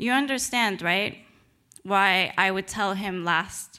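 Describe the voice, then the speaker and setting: Intonation stays fairly even as a woman speaks at a fairly slow pace with a Spanish accent. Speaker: novelist. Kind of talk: reading aloud; lecture.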